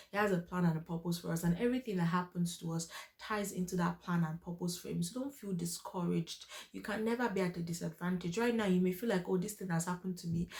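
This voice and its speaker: A woman speaks very fast at a fairly low pitch with fairly even intonation. Noticeable background noise runs underneath. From Nigeria. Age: 20s. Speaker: faith and lifestyle youtuber. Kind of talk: personal testimony and encouragement. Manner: loud.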